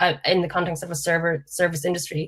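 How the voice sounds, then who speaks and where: A woman with an Irish accent talks at a fairly quick pace. Her pitch sits fairly low. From Ireland, County Mayo. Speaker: panel speaker. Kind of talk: panel discussion.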